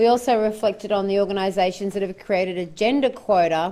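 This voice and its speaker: Fairly quick in pace, a woman with an Australian accent speaks at a medium pitch in a dark, mellow tone. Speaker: forum facilitator. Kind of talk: panel presentation at a forum. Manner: loud.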